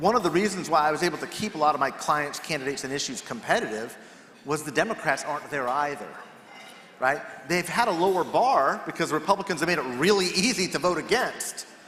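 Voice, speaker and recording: With an American accent and lively intonation, a man speaks at a fairly quick pace amid audible room echo and noticeable background noise. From California. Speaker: political strategist. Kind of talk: panel discussion.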